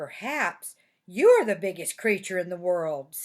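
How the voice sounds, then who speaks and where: A woman's put-on character voice, medium in pitch, at a fairly slow pace, in a very clean recording with a silent background. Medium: read story. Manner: eager, hopeful.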